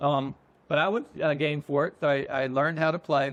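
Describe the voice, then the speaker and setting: Over a quiet background, a man with a fairly high pitch talks at a very fast pace with fairly even intonation. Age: 60s. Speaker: magazine founder and publisher. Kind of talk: interview. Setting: outdoor pavilion at a golf resort.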